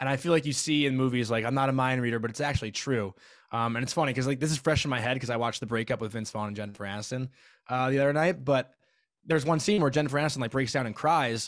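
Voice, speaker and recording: A man's medium-pitched voice in an American accent, very fast in pace with ordinary pitch variation, on a very clean recording with a silent background. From US Northeast, Long Island, New York. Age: 20s. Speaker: podcast host. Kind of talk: casual chat.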